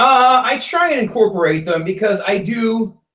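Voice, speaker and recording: A man speaks loudly with lively intonation. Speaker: stand-up comedian. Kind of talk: casual interview. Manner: fast.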